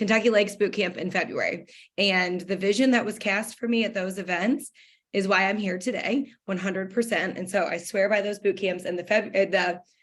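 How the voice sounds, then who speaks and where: Her pace is fairly quick and her intonation fairly even. The speaker is a woman with a medium pitch. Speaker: direct sales business owner. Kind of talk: motivational talk. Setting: video call. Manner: fast.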